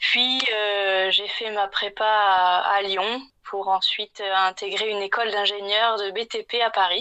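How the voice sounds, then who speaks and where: A woman's medium pitch at a very slow pace, with a bright, sharp tone and monotone, flat intonation. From southeastern France (Var, near Marseille). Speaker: interior design consultant, former civil engineer. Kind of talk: podcast interview. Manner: hesitant, many fillers.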